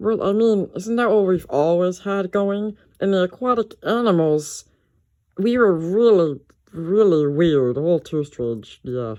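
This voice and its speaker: Someone uses a put-on character voice at a middle pitch, going at a fairly slow pace. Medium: machinima.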